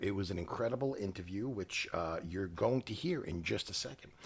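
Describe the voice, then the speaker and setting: Somewhat breathy, a man's voice sits at a fairly low pitch. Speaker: podcast host. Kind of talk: casual chat. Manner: halting.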